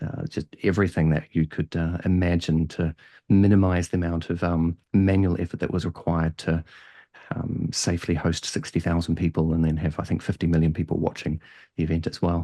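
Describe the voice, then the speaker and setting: A man with a very deep, low pitch and a slight New Zealand accent talks at a fairly quick pace in a flat monotone with a dark, mellow tone. The sound is dry and close with no echo, over a quiet background. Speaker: head of data and analytics. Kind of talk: podcast interview. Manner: hesitant, many fillers.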